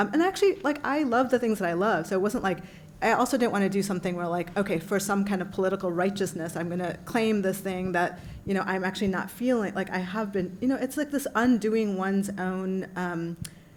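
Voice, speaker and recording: A woman with a medium pitch and ordinary pitch variation talks in a space with audible room echo. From US, immigrant family. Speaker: panelist, translator. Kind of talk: panel Q&A answer. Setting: conference panel with audience. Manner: halting, many fillers.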